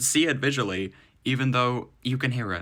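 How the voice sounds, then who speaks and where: The man's tone is bright and sharp. The background is silent in this very clean recording. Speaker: music producer, sound designer. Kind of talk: tutorial.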